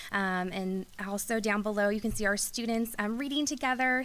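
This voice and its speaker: Fairly high-pitched woman at a moderate pace, ordinary pitch variation, very clean recording with a silent background. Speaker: school administrator. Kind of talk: presentation to school board. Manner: hesitant, many ums.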